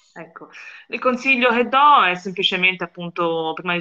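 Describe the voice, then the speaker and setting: A woman talks at a moderate pace and medium pitch in a Florentine accent. Her tone is bright and sharp. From Florence, Italy. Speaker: journalist. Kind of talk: interview. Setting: remote call.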